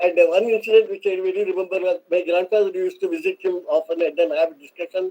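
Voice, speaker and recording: This man talks at a very fast pace, his high-pitched voice keeping a fairly even intonation. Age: 80s+. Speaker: retired scientist. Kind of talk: presidential address. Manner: halting.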